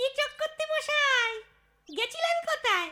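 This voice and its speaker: A woman does a cartoonish character voice, squeaky and extremely high. Her pitch swings very widely. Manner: coaxing, falsely polite.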